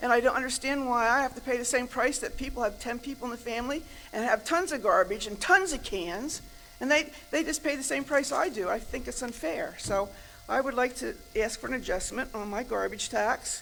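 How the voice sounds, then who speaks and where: Against noticeable background noise, a woman with a high pitch talks at a fairly quick pace with ordinary pitch variation. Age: 70s. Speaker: resident speaking at public comment. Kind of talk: public comment at township meeting. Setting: township board meeting room. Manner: animated.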